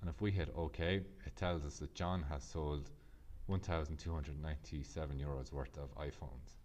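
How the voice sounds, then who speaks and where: A man with an Irish accent speaks at a moderate pace in a very deep, low voice with vocal fry and ordinary pitch variation. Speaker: Excel tutor. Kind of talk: software tutorial narration.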